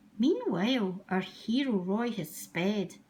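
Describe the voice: Plain reading aloud is what this clip holds.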